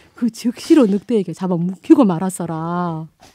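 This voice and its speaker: A woman's dark, mellow voice at medium pitch with lively intonation. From Gwangju, South Jeolla, Korea. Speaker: non-professional voice actor. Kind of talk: fairy tale storytelling.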